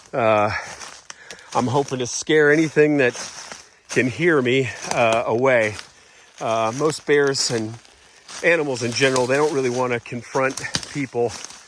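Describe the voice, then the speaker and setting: Noticeable background noise sits behind a man speaking at a medium pitch and moderate pace. His intonation is fairly even, broken by long, frequent pauses. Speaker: real estate agent. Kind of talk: walking property tour. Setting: outdoors in woods. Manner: loud; casual, many fillers.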